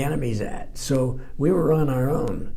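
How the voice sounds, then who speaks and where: A man's fairly even intonation amid audible room echo. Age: 80s+. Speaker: war veteran. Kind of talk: testimony. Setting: library interview. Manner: halting.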